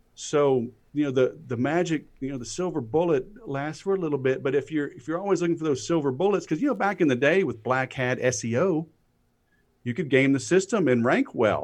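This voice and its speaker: With lively intonation, a plain, everyday voice talks at a fairly quick pace. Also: man, fairly high pitch for a man. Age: 40s. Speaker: sales expert. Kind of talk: casual chat.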